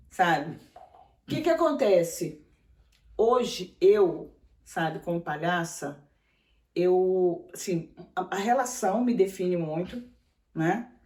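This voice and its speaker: Very slow pace from a woman at medium pitch, with lively intonation and long, frequent pauses. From Brasília, Brazil (born in Maranhão). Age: 60s. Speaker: clown and clown teacher. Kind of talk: interview. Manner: halting.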